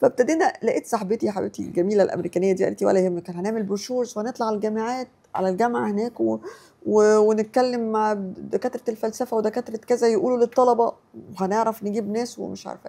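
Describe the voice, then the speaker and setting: A woman talks at a very fast pace in a fairly high voice with a dark, mellow tone. Her pitch varies in an ordinary way, and her loudness swings widely. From Egypt. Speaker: writer. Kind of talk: interview storytelling. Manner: halting, repeats syllables.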